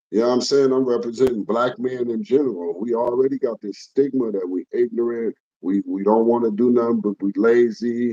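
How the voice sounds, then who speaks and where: A man's dark, mellow voice at a medium pitch, fairly quick with hardly any pauses, ordinary pitch variation, and a dry, close sound with no echo. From Los Angeles, Hoover Street area. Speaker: former gang member. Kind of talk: interview.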